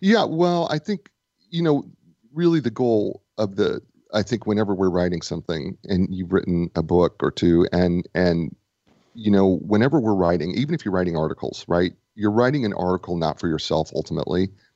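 A man with an American accent speaks in an unremarkable speaking voice at a fairly low pitch. His pace is fairly quick, and his intonation is lively. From Nebraska. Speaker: author and business coach. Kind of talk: casual interview.

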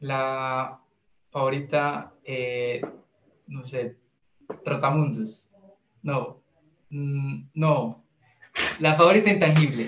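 Talking at a very slow pace with long, frequent pauses, a man with a Colombian Paisa accent uses a fairly high pitch, ordinary pitch variation and big swings in loudness. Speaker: indie musician, pianist. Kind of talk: interview.

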